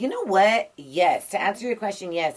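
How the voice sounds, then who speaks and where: Her accent is American. This woman talks at a fairly quick clip. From Los Angeles, US West Coast. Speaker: radio and TV personality, journalist. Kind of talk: casual interview. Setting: studio.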